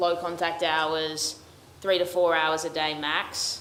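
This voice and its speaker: Amid noticeable background noise and audible room echo, a woman with an Australian accent speaks at a very slow pace. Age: young. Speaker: first-year military academy cadet. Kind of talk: Q&A panel answers.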